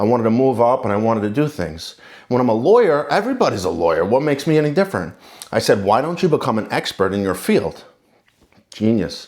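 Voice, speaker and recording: A man speaks with a New York accent at a medium pitch. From New York City, Queens. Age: 40s. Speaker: lawyer and contractor, channel owner. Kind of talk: casual talk to camera.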